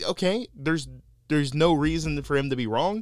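This voice has vocal fry, a playful tone and an American accent. The recording is very clean, with a silent background. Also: man. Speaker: podcast host. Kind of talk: casual chat. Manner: joking, playful.

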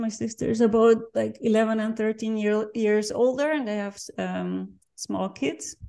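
A woman talks at a fairly slow pace, her pitch fairly high with ordinary variation. The background is quiet. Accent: Dutch. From Netherlands. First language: Dutch. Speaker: NGO founder and marketing professional. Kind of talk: interview.

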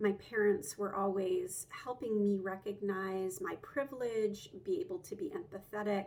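A woman with an American accent and an unremarkable speaking voice talks at a moderate pace with hardly any pauses, her medium pitch showing ordinary variation. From US South, Georgia (Atlanta suburbs). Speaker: lawyer and nonprofit founder. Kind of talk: interview.

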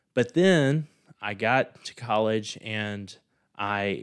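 This man has a fairly low pitch and a Mississippi accent. The recording is very clean, with a silent background. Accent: Southern US (Mississippi). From US South, rural southern Mississippi near Laurel. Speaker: finance professor. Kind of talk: interview.

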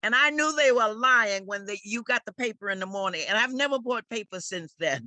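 A woman with a New York accent, fairly high-pitched and fairly quick, with a bright, sharp tone and lively intonation. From New York City, Harlem. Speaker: community and political activist. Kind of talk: interview.

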